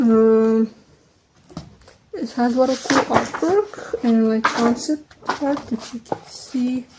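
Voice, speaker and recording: A woman with a Serbian accent and a high pitch speaks at a very slow pace with long, frequent pauses, over noticeable background noise. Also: ordinary pitch variation. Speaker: vlogger. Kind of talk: casual chat. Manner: halting.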